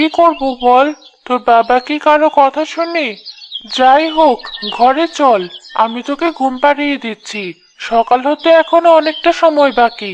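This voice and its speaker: A woman performs a cartoonish character voice at high pitch. She delivers it at a fairly slow pace. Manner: gentle, caring.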